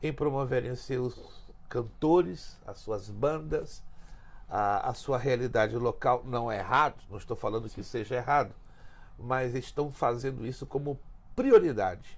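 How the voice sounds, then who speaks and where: His voice has a somewhat breathy quality. The man keeps to a fairly slow pace. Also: medium pitch for a man, ordinary pitch variation. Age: 60s. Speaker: pastor. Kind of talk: teaching talk in podcast interview. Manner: emphatic.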